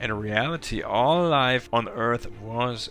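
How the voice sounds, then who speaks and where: Music plays in the background as a man speaks very slowly at a medium pitch with ordinary pitch variation. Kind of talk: story recap and opinion narration. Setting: cheap gaming headset microphone. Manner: slow at times.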